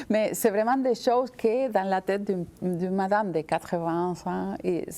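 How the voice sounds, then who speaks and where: Speaking at a very slow pace, a woman with an Argentine accent uses ordinary pitch variation. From Argentina. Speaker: visual artist. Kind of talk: interview answer.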